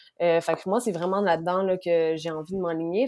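With a Quebec accent, a woman speaks in a fairly low pitch. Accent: Québécois French. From Quebec City, Quebec. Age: 20s. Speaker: sexology student. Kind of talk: interview.

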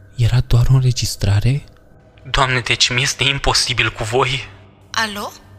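Through noticeable background noise, a man talks at medium pitch and a moderate pace with ordinary pitch variation and long, frequent pauses. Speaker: horror story narrator. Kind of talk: scripted horror story narration, first-person.

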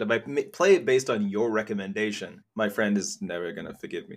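A man with an English accent speaks at a very fast pace. His pitch swings very widely. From England. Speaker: podcast host. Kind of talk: promo outro; casual interview. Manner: animated.

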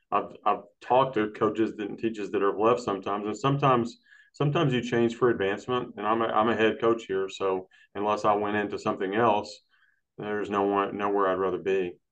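Against a quiet background, a man with a Texan accent talks at a fairly quick pace and a fairly low pitch, with fairly even intonation. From Texas, Brownwood. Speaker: high school boys track coach. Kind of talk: casual chat.

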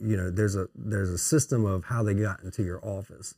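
In a very clean recording with a silent background and a dry, close sound with no echo, a man speaks at a moderate pace with a fairly low, dark, mellow tone. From Louisiana, Melville (St. Landry Parish). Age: 40s. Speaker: recruitment agency CEO. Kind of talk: casual interview chat. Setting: on site at his office.

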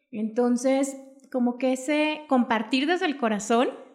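A woman speaks in a high pitch with lively intonation at a fairly slow pace. The recording is very clean with a silent background. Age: 40s. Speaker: essential oils seller. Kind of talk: casual chat. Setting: in person.

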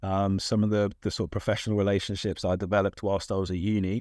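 Speaking very fast with a London accent, a man keeps a fairly low, flat, monotone delivery. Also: quiet background. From South London, England. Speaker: diversity advocate in tennis. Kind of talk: casual interview. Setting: studio. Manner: hesitant with fillers.

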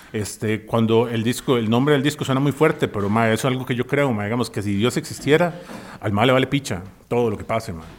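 A man talks with a Costa Rican accent. His pace is very fast. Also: medium pitch for a man, ordinary pitch variation. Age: 40s. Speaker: musician. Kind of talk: casual chat.

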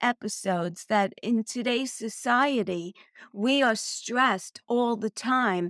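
With a dry, close sound with no echo, a woman with an American accent uses a plain, everyday voice at a fairly slow pace in a very clean recording over a silent background. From Brooklyn, New York. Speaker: wellness podcast host. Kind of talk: solo podcast talk.

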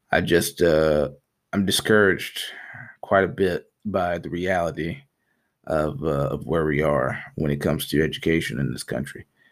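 In an American accent, a man with a very deep, low pitch and vocal fry talks at a moderate pace with ordinary pitch variation. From US South, Alabama. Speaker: podcast host. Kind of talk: personal monologue. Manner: halting.

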